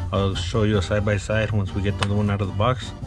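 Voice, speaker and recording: Against clear background music, a man talks fairly quickly. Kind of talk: tutorial. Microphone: phone near.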